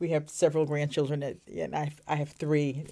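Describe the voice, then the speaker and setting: In an American accent, a woman with a very deep, low, dark and mellow voice and vocal fry speaks at a moderate pace on a very clean recording with a silent background. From Brooklyn, New York. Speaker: school equity coordinator. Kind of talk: interview. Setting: outdoors in a park.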